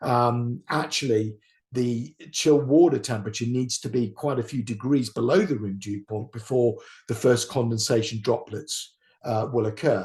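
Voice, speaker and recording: Against a quiet background, a man with a British accent speaks somewhat breathily at a medium pitch, with ordinary pitch variation and a moderate pace. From UK. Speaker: engineer. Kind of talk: lecture. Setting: webinar. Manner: halting.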